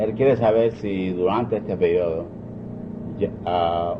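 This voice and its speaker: Over noticeable background noise, a man with a very deep, low voice talks at a moderate pace. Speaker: civil rights attorney. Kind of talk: interview translation and questions.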